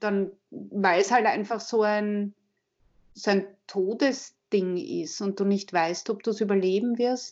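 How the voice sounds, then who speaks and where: The speech comes at a very slow pace in a Viennese accent. Pitch variation is ordinary. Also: woman, medium pitch for a woman. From Austria, Vienna. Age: 40s. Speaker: advertising agency head and author. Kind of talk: interview. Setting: phone call.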